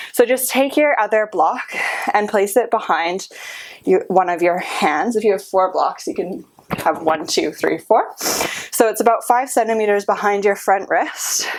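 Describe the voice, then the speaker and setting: A woman's fairly high, calm voice at a fairly slow pace, with very wide pitch swings and noticeable background noise. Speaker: yoga instructor. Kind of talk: guided workout class. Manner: instructive, calm cueing.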